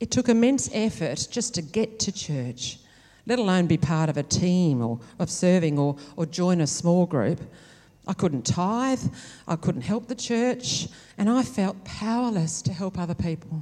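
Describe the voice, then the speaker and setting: With an Australian accent, a woman speaks at a fairly slow pace in a fairly low pitch, her voice swinging very widely up and down. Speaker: nurse educator. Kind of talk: testimony. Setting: church.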